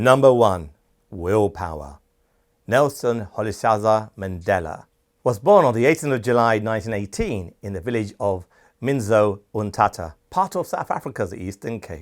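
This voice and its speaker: A man with a British accent speaks at a moderate pace and fairly low pitch, his intonation lively. The recording is very clean, with a silent background. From Britain. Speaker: channel host and awards show founder. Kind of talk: scripted documentary narration.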